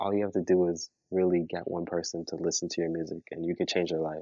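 This man's voice is very deep and low. He speaks at a moderate pace in a Toronto accent. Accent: Canadian English, Toronto. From Toronto, Canada. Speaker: musician. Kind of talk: casual interview.

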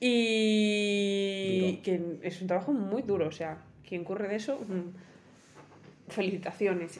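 A woman at medium pitch and a fairly slow pace, with long, frequent pauses and audible room echo. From El Bierzo, León, Spain. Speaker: podcast co-host. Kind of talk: casual chat.

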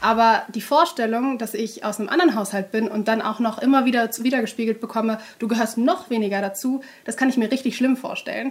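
A very fast delivery carries ordinary pitch variation. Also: woman, fairly high pitch for a woman. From Germany, Duisburg (Ruhr area). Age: 20s. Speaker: journalist. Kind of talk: interview.

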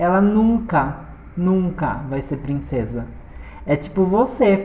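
There's audible room echo and noticeable background noise. Through it, a woman talks at a very slow pace. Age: 30s. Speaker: podcast host. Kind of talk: casual monologue. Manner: animated; halting.

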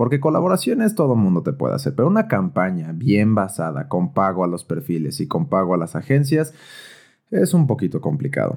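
A dark, mellow tone with a Mexican accent, very wide pitch swings, and a moderate pace. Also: man. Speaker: podcast host. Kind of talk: personal monologue. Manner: casual.

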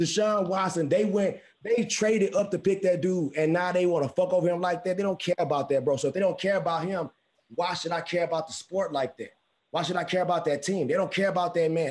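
In an American accent, a man speaks in a high pitch with ordinary pitch variation. His tone is animated. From Houston, Texas. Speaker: podcast co-host. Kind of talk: casual chat.

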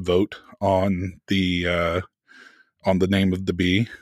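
Very deep and gravelly, a man's voice moves at a very slow pace with fairly even intonation, dry and close with no echo, on a very clean recording with a silent background. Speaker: podcast host. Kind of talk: casual chat between co-hosts.

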